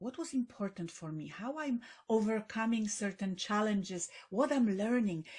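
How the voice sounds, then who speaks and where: Spoken with a Polish accent at a moderate pace, the voice is somewhat breathy. Its intonation is lively. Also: woman. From Poland. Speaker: best-selling author and public speaker. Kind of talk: podcast interview.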